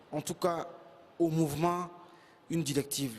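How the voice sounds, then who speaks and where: A man's high-pitched voice at a very slow pace with fairly even intonation. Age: young. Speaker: spoken-word poet. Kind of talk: interview answer.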